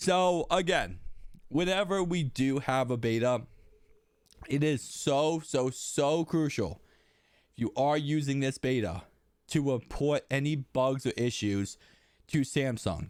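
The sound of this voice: A man's medium-pitched, slightly mellow voice, clear and smooth in tone, with ordinary pitch variation and a slow pace, on a very clean recording over a silent background.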